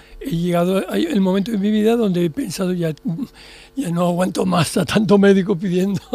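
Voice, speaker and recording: Noticeable background noise is present throughout. Against it, a man talks with a high pitch. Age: 70s. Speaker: psychiatrist. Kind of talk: radio interview. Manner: halting, with repetitions.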